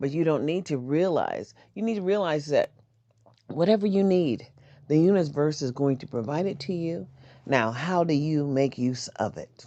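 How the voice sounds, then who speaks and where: Here a woman has a very deep, low pitch and a dark, mellow tone, with lively intonation. She talks at a moderate pace against a quiet background. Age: 60s. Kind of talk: casual chat.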